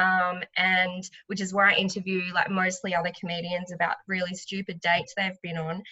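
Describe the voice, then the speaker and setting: At a moderate pace, the speaker talks in a monotone, flat intonation with an Australian accent. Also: woman, medium pitch for a woman. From Sunshine Coast, Queensland, Australia. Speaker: stand-up comedian and podcaster. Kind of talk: casual interview chat.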